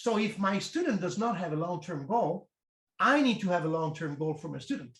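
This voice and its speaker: A man speaks with an Italian accent at a moderate pace. His pitch sits high. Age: 50s. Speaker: strength coach. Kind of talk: interview.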